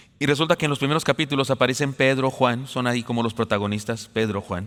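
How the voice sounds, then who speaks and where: Very fast speech comes from a man at a medium pitch. His pitch variation is ordinary. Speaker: pastor. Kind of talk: sermon.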